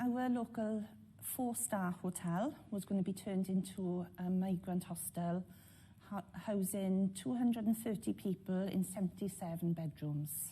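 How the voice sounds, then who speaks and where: In a South Welsh accent, a woman speaks at a medium pitch and a fairly slow pace, her tone dark and mellow and somewhat breathy. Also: ordinary pitch variation. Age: 50s. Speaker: local resident. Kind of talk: interview testimony.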